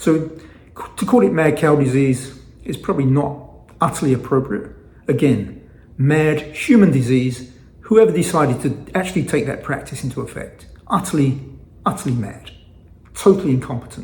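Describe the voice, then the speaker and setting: Audible room echo surrounds a man with an American accent. His fairly high voice moves with lively intonation. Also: moderate pace. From England. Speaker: fasting vlogger. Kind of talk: casual vlog monologue. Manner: halting, with frequent fillers and repetitions.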